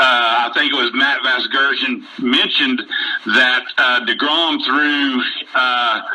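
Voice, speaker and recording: Speaking at a very slow pace with very even loudness, a man with an American accent is heard over noticeable background noise. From West Virginia. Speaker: baseball fan caller. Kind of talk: casual sports chat.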